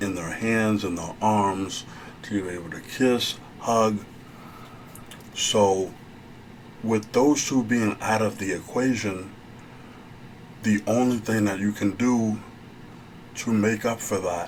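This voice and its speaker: A soft-spoken man, fairly low in pitch, with fairly even intonation, very slow and full of long, frequent pauses. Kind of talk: ASMR therapy role play, advice talk.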